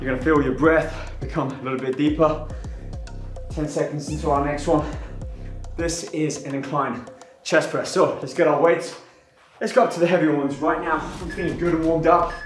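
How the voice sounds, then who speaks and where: A man talks at a fairly quick pace with fairly even intonation. There is audible room echo and faint music in the background. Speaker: fitness instructor. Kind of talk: workout instruction.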